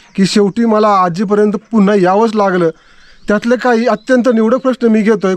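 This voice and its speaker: Recorded dry and close with no echo, a man speaks in a high pitch with fairly even intonation. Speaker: YouTube interviewer. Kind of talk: casual talk to camera.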